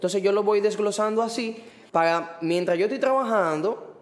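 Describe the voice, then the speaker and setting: Behind a man speaking with ordinary pitch variation, there is noticeable background noise. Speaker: graphic designer and letterer. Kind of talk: casual chat.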